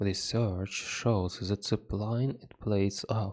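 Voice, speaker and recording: A non-native accent at a very slow pace, monotone and flat, in a very clean recording with a silent background. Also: man. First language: not English. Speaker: hobby gardener reading an article. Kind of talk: reading aloud with comments. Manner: halting.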